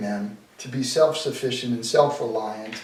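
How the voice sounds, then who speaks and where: With an American accent, a man speaks at a fairly slow pace over noticeable background noise, and audible room echo can be heard. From Boston. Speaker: sales coach. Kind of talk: interview. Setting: at home dining table.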